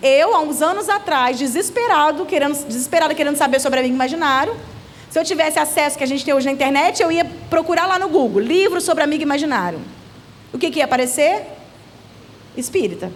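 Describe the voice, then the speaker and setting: Woman at high pitch, very fast pace and lively intonation, with long, frequent pauses, audible room echo and noticeable background noise. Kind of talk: church seminar talk. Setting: church seminar with audience.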